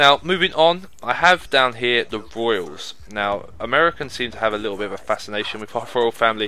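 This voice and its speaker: At a fairly quick pace with hardly any pauses, a man with an English accent talks using lively intonation. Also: medium pitch for a man. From England. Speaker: gaming YouTuber. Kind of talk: casual commentary monologue. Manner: conversational.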